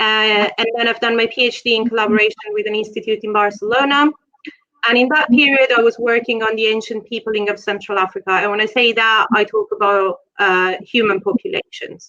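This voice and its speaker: Fairly even intonation at a fairly quick pace, with an Italian accent. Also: woman, fairly high pitch for a woman. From Italy, Rome. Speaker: genetics researcher. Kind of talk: lecture.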